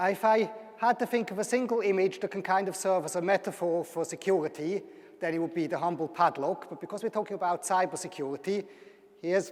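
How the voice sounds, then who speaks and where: A man talks at a fairly quick pace. His pitch is high and his intonation fairly even. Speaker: university lecturer. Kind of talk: public lecture.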